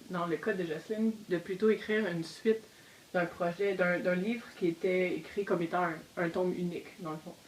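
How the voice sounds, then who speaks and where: An ordinary speaking voice from a woman, medium in pitch, with fairly even intonation at a moderate pace. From Quebec. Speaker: novelist. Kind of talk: casual discussion.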